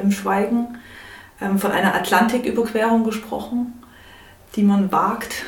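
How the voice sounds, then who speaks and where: Her voice rises and falls in an ordinary way, with clear room echo and a fair amount of background noise. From Saxony, Chemnitz. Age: 30s. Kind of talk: interview. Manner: halting.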